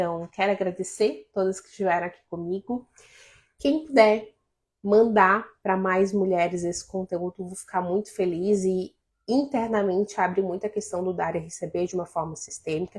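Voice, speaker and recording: The pitch varies in an ordinary way in a normal speaking voice. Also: woman, medium pitch for a woman, moderate pace. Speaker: life coach. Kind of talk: live stream talk to viewers.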